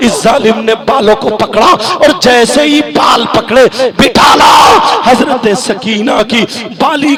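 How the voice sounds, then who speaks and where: With crowd noise in the background, a man speaks at an extremely high pitch. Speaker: Islamic preacher. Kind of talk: religious sermon to a night gathering. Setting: outdoor public gathering, live.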